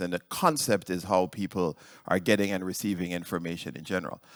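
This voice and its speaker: Someone with a Jamaican accent is heard on a very clean recording with a silent background and a dry, close sound with no echo. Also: man. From Jamaica (rural). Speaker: cardiologist and researcher. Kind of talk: conference talk. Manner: halting, many fillers.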